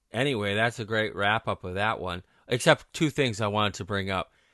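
A man with a fairly low voice speaks in a bright, sharp tone at a fairly quick pace. The sound is dry and close with no echo, and the background is quiet. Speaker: podcast host. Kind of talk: casual sports betting talk.

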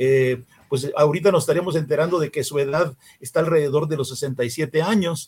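A man speaks with a fairly high, somewhat breathy voice. His intonation stays fairly even. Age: 70s. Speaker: political party leader. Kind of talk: interview.

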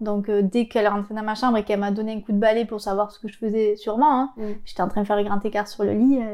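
Very fast and flat in intonation, a woman speaks with a dark, mellow tone. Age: 20s. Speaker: interviewee sharing childhood abuse story. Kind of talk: testimony. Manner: halting.

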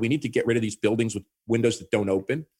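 On a very clean recording with a silent background, a man with an American accent speaks at a very fast pace and medium pitch, with ordinary pitch variation. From New York. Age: 60s. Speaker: urbanist. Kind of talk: interview.

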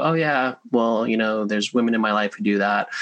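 With an American accent, a man speaks at a moderate pace in a fairly low pitch, using a normal speaking voice. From Los Angeles, US. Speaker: meditation teacher and author. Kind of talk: casual interview chat.

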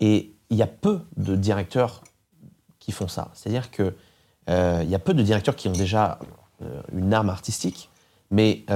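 In a very clean recording with a silent background, the words are delivered at a fairly slow pace. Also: man. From France, rural. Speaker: radio host and DJ. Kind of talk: interview. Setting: studio.

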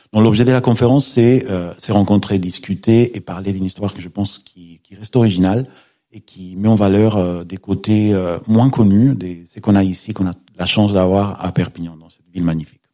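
A man's fairly low, dark and mellow voice at a fairly quick pace, with fairly even intonation and big swings in loudness, in a very clean recording over a silent background. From Spain. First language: Spanish (speaking French). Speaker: law professor and novelist. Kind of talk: radio interview. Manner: halting, with fillers and repetitions.

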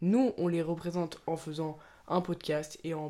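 A woman speaks with a dark, mellow tone at a fairly low pitch, her intonation fairly even. Her moderate pace comes through on a very clean recording with a silent background. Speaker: podcast co-host. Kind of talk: casual chat.

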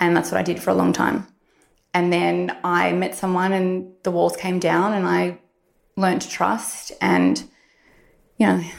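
Speaking at a fairly slow pace with an Australian accent, a woman keeps her loudness very even and leaves long, frequent pauses. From Australia, Victoria (Warrandyte). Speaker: beauty blogger. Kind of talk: interview testimony.

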